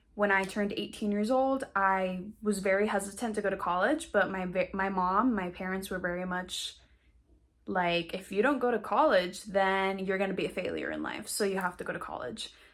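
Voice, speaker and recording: In an American accent, a woman with an ordinary speaking voice and medium pitch talks at a moderate pace with ordinary pitch variation. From western Colorado, US. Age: 20s. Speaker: actress and acting coach. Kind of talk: online course talk to camera. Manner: casual, conversational.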